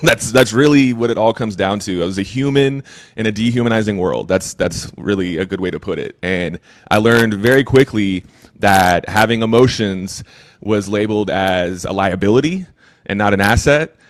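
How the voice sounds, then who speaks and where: Speaking in a Texan accent, a man with a fairly low pitch talks at a moderate pace with ordinary pitch variation. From Texas, Austin. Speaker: recovery coach. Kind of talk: interview. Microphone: occasional crackles from a mic problem.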